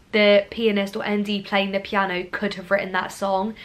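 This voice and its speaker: A woman with a southern English accent speaks at a medium pitch and a moderate pace. There is noticeable background noise. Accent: near-RP southern English, regionless. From Scotland, Glasgow. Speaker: drama school student and YouTuber. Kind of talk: vlog talk to camera.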